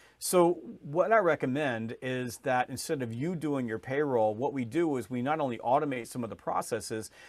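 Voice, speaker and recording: The recording is very clean, with a silent background. A man speaks at medium pitch with lively intonation. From US South, Georgia. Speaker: sales author and trainer. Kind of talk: podcast interview. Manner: fast.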